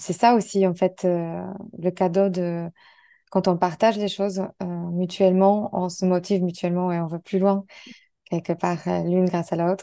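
A woman speaks at a medium pitch in a dark, mellow tone. Her delivery is monotone and flat, broken by long, frequent pauses. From Poland. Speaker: podcast host and coach. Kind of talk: interview, casual-warm.

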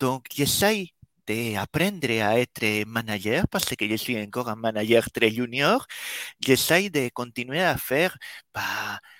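Very slowly, a man talks with lively intonation and a bright, sharp tone, recorded very cleanly against a silent background with a dry, close sound and no echo. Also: medium pitch for a man. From Spain. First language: Spanish (speaking French). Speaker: developer relations team manager. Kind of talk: casual chat.

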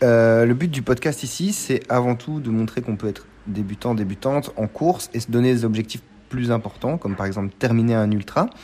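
A man's medium-pitched voice in a dark, mellow tone, with ordinary pitch variation at a moderate pace. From Belgium. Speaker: podcast host, amateur trail runner. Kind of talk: interview. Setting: café.

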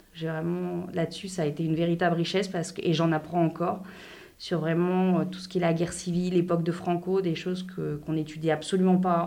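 Amid audible room echo, a woman talks at a fairly quick pace in a monotone, flat intonation with a fairly low pitch. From France. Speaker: French expat in a binational couple. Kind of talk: interview.

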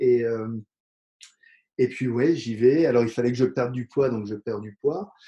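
A man speaks in a dark, mellow tone. His pitch is medium. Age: 40s. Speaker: dentist and professional kickboxer. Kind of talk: interview.

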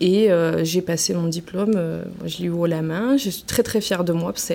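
A woman speaks at a fairly quick pace. Her pitch is fairly low, with ordinary variation. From Marseille, southern France. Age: 30s. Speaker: career training advisor. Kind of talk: interview. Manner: hesitant, frequent fillers.

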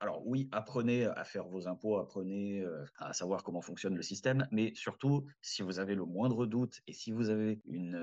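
A man's normal speaking voice, fairly low in pitch, with ordinary pitch variation. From southern France (Valence). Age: 30s. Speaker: restaurant team leader and rideshare driver. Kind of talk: casual interview.

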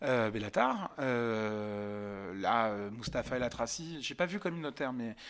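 Silent background and a very clean recording of a man's voice. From France, Yvelines (Paris region). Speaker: stand-up comedian. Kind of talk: casual interview chat. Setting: podcast studio. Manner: loud.

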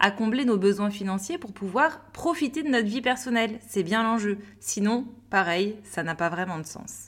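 A woman with a fairly high, somewhat breathy voice speaks in an upbeat tone with lively intonation. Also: very clean recording, silent background. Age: 30s. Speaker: business coach and podcast host. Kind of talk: solo podcast monologue.

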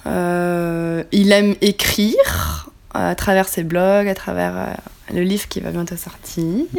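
Noticeable background noise is present. A woman speaks at a very slow pace. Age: 20s. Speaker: physiotherapist, podcast co-host. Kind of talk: casual chat.

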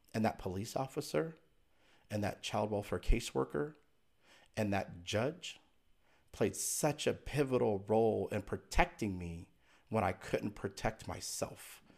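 With vocal fry and a fairly low pitch, a man speaks at a fairly slow pace, his pitch swinging very widely between long, frequent pauses. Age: 40s. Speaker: inspirational speaker and author. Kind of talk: interview.

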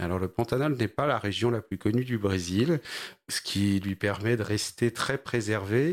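The background is silent and the recording very clean. The delivery is fairly slow, with ordinary pitch variation. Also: man, fairly low pitch for a man. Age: 40s. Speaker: startup founder in agri-food. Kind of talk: interview. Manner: halting.

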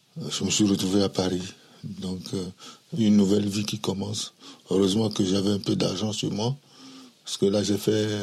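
A man speaks at a moderate pace and a fairly low pitch, with long, frequent pauses. His intonation is monotone and flat. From Togo, Lomé. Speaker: immigrant father recounting his life. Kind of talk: life story interview. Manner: halting, repetitive.

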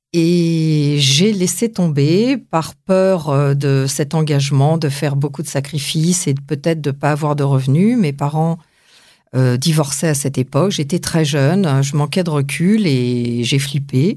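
A dark, mellow tone at a fairly slow pace, with ordinary pitch variation and very even loudness, on a very clean recording with a silent background. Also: woman, very deep, low pitch for a woman. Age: 50s. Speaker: aspiring actress and justice mediator. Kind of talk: interview. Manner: hesitant.

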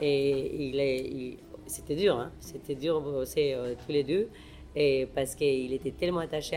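A woman speaks with a Spanish accent. Her pitch is very deep and low, with ordinary variation. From Mexico. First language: Spanish (speaking French). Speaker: chef and restaurant owner. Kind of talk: interview. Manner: halting.

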